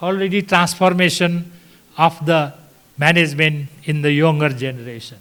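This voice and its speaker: At a moderate pace, a man with a high pitch and ordinary pitch variation speaks amid audible room echo. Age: 80s+. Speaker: hospital founder and doctor. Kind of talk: conference talk. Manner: halting.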